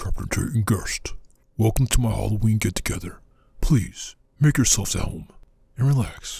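A man at medium pitch and moderate pace, with long, frequent pauses. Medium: machinima. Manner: smooth, welcoming, then ominous.

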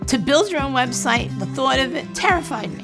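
Clear music plays behind a woman speaking with an American accent. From New York. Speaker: small business owner. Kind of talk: interview answer. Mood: warm, candid, upbeat. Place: home room. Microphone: lapel.

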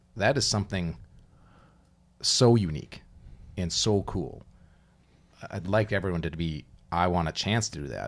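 With an American accent, a man speaks at a very deep, low pitch and a moderate pace. His intonation is lively, broken by long, frequent pauses. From Minnesota. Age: 50s. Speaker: former college hockey player, youth coach; podcast co-host. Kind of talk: casual chat. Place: studio. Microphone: studio mic.

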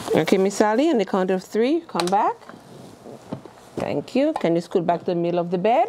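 Light background noise accompanies a moderate pace broken by long, frequent pauses. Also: woman. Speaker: caregiver instructor. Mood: calm, reassuring. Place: classroom.

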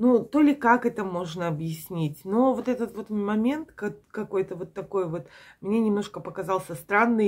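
A woman speaks at a fairly slow pace with ordinary pitch variation against a quiet background. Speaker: vlogger. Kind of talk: casual vlog chat. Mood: reflective, mildly puzzled. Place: home room. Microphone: phone near.

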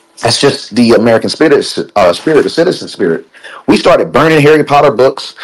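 This is an ordinary speaking voice moving at a fairly quick pace with ordinary pitch variation. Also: man. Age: 30s. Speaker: crypto project partner and commentator. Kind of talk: casual chat.

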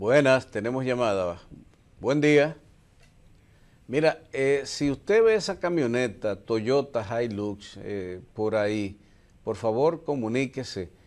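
A man's medium-pitched voice, slightly mellow in tone, slow in pace, with lively intonation

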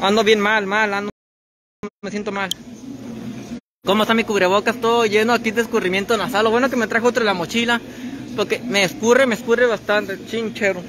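A man's high-pitched voice, fairly quick and monotone with flat intonation, over noticeable background noise. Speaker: vlogger. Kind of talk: casual vlog chat. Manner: sick, congested, weary voice. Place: shop. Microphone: phone near.

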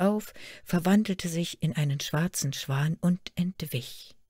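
Somewhat breathy and fairly low in pitch, a woman speaks at a very slow pace with ordinary pitch variation on a very clean recording with a silent background and a dry, close sound with no echo. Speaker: storyteller reading a fairy tale aloud. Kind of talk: fairy tale telling. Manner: storytelling narration, measured and expressive.

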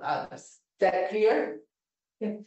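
A woman with a medium pitch speaks against a quiet background, with audible room echo. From Italy. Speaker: philosophy professor. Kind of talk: lecture. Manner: halting. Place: classroom. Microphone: camera far.

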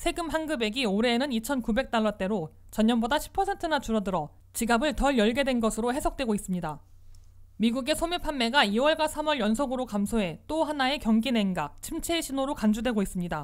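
On a very clean recording with a silent background, a woman speaks at a moderate pace and very even loudness. Her high voice swings very widely in pitch. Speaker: news reporter. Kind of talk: news reading. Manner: formal.

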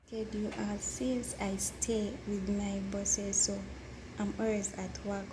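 Noticeable background noise sits behind a woman's voice. She speaks at a very slow pace. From Uganda. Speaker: domestic worker. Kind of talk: interview. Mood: calm, sometimes smiling. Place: home room. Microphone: phone near.

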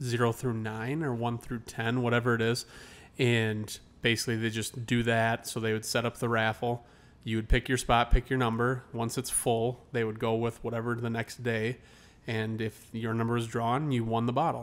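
With monotone, flat intonation, a man speaks at a moderate pace. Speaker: podcast co-host. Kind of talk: casual podcast chat. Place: home room. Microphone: studio mic.

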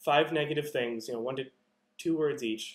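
With an American accent, a man talks at a fairly slow pace and ordinary pitch variation. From Massachusetts. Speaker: bass trombonist; presenter. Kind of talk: lecture. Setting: video call. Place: home room. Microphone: earbuds.

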